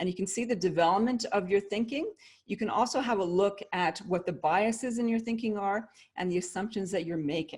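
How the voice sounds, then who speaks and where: On a very clean recording with a silent background, a woman talks at a fairly quick pace in a medium, somewhat breathy voice with ordinary pitch variation. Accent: Canadian. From Canada. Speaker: leadership consultant and author. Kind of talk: interview.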